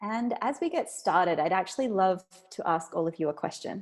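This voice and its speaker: This woman has an Australian accent and a medium pitch. The recording is very clean, with a silent background. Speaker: food systems researcher and author. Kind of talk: talk or lecture.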